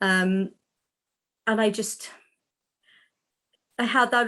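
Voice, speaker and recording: In a strong Welsh accent, a woman with a fairly high voice talks at a fairly slow pace with fairly even intonation against a quiet background. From South Wales. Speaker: animal communicator and healer. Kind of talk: interview. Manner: deliberately slow.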